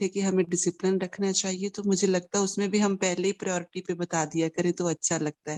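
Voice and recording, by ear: Delivered at a moderate pace, the speech runs on with hardly any pauses.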